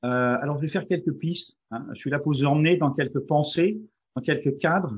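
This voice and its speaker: A man talks with ordinary pitch variation. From France. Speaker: company CEO, positive psychology speaker. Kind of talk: webinar presentation. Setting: online webinar. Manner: halting, many hesitations.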